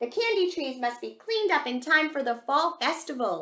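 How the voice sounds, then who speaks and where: A woman uses a put-on character voice at a high pitch. She speaks at a moderate pace. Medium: read story.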